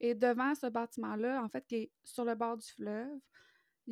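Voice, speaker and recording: A woman's fairly high voice in a Quebec accent, dark and mellow in tone, with monotone, flat intonation. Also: dry, close sound with no echo. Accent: Québécois French. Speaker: podcast co-host. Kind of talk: casual chat.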